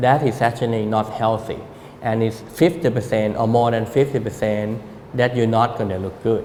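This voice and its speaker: A man with a Thai accent, fairly even intonation and a moderate pace. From Thailand. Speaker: architect. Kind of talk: public talk.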